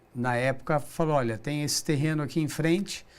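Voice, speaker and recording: Amid audible room echo, a man speaks at a fairly high pitch with ordinary pitch variation. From Brazil, São José dos Campos (São Paulo state). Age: 60s. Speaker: business director, recycling company. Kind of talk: interview. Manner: halting, with repetitions.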